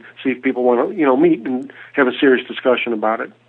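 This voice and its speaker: A man speaks with a fairly high pitch. His pitch varies in an ordinary way. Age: 60s. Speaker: financial advisor. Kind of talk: radio interview. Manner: halting, many repetitions.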